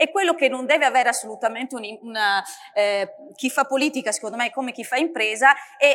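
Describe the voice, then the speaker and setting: Amid noticeable background noise, a woman talks at a fairly quick pace in a high pitch with ordinary pitch variation. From northeast Italy. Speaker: politician. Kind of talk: panel discussion.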